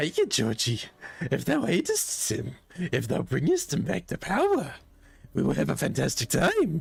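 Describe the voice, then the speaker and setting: The speaker puts on a character voice and keeps a moderate pace. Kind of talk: mock archaic, Shakespearean. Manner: playful, sing-song.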